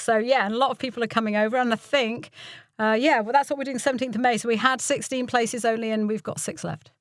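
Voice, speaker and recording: The speaker has an English Midlands accent and talks at a very fast pace. Pitch variation is ordinary. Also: woman. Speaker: voiceover artist and voice coach. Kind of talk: interview chat.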